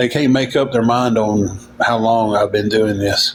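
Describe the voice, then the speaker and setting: Through noticeable background noise, a man with a Southern US accent talks at a moderate pace. His intonation is monotone and flat. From Tennessee. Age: 40s. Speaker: livestreamer. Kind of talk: casual chat.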